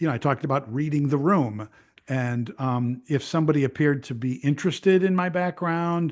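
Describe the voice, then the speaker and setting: A man speaks with a Chicago accent and a fairly high pitch. His pace is moderate, his pitch variation ordinary, and the background quiet. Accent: Chicago American English. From Chicago area, Illinois. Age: 60s. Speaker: retired radio news journalist. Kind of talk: casual interview conversation.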